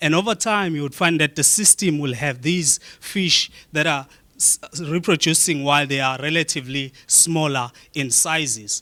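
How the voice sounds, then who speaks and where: A man with a bright, sharp tone and fairly high pitch speaks at a moderate pace. His pitch varies in an ordinary way, and the sound is dry and close with no echo. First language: a South African click language. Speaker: researcher. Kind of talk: conference talk.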